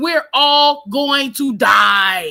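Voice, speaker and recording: Raising and projecting her voice, a woman sounds bright and sharp. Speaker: live stream panel host. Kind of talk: casual panel chat. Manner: loud.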